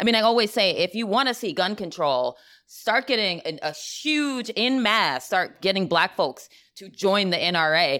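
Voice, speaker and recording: A woman's bright, sharp voice in an American accent, with very wide pitch swings. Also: medium pitch for a woman, moderate pace. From US South. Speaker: podcast co-host. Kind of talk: casual chat. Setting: in person live recording.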